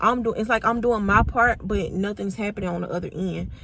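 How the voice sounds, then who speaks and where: Vocal fry at a moderate pace, with fairly even intonation. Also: woman. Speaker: vlogger. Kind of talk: personal vlog, emotional confession. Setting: in a car. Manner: rambling, halting.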